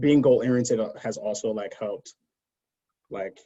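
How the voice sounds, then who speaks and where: Speaking at a medium pitch, a man talks with a New York accent. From Brooklyn, New York City. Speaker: cancer scientist, pharma consultant. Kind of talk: podcast interview, casual chat. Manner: fast.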